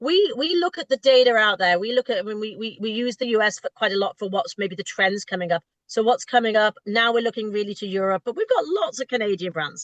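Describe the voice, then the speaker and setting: In a British accent, a woman speaks at a very fast pace with hardly any pauses, lively intonation and a fairly high pitch, the sound dry and close with no echo. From Britain. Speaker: retail food buyer. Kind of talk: interview. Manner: halting, repeats words.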